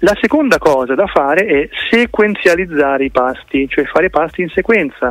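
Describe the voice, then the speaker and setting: A man's high-pitched voice at a moderate pace, lively intonation and very even loudness, with noticeable background noise. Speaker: political activist and fruitarian nutrition advocate. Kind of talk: radio interview. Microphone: phone line with slight delay.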